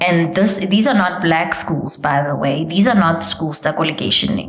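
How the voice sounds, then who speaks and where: Speaking at a moderate pace with a Botswana accent, a woman with a fairly low voice is heard over noticeable background noise and audible room echo. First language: Setswana. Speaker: preschool founder and former teacher. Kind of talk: interview. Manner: loud; code-switching between English and Setswana.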